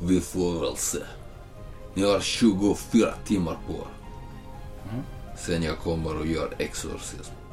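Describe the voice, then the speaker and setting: A man's guttural, growling put-on character voice, with long, frequent pauses and clear music in the background. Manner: threatening.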